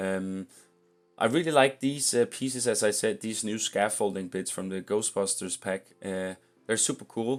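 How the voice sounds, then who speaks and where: A man mumbles at a moderate pace while music plays in the background. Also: fairly low pitch for a man, ordinary pitch variation. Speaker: video game content creator. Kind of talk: gameplay commentary. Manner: mumbling; halting, many fillers.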